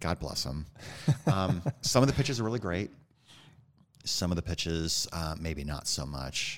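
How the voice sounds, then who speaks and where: A man with an American accent speaks in a very deep, low pitch with vocal fry. His pace is moderate and his intonation lively, broken by long, frequent pauses. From Iowa, US Midwest. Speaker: author and podcast host. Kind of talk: casual interview chat. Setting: studio.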